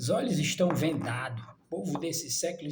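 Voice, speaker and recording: A man with a high pitch talks fairly slowly, his pitch varying in an ordinary way. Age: 60s. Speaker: preacher. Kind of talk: sermon. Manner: animated.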